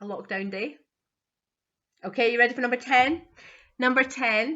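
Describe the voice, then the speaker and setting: The pace is moderate. Pitch variation is ordinary. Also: woman, high pitch for a woman. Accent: Scottish. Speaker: quiz host. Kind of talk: online quiz reading questions.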